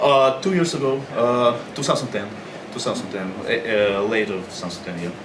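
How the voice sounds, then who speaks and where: With a Russian accent, a man speaks at a moderate pace with medium pitch and lively intonation, amid audible room echo and noticeable background noise. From Russia, Moscow. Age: young. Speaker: pro wrestler. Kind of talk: interview.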